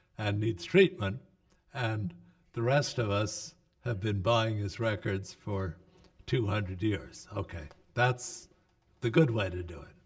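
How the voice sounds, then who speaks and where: Over a silent background in a very clean recording, a man with an American accent speaks at a fairly slow pace. His voice is fairly low and somewhat breathy, with lively intonation. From US Northeast. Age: 80s+. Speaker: psychiatrist and researcher. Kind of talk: interview. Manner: hesitant with fillers.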